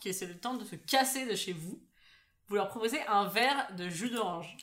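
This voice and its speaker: With an animated tone, a woman talks at a moderate pace in a fairly high voice, her pitch varying in an ordinary way. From Paris, France. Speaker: podcast co-host. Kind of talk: casual chat.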